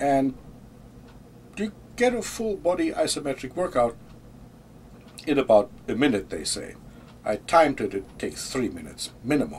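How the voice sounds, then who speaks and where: A man with a German accent speaks at a moderate pace in a fairly high pitch, his pitch swinging very widely and his speech broken by long, frequent pauses. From Germany. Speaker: vlogger. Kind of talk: casual monologue. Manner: hesitant, with fillers and repeats.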